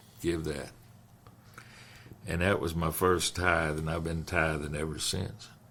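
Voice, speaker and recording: A man's very deep, low voice with a bright, sharp tone, flat monotone intonation, a fairly slow pace, long, frequent pauses and audible room echo. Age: 80s+. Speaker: pastor. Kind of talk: casual chat.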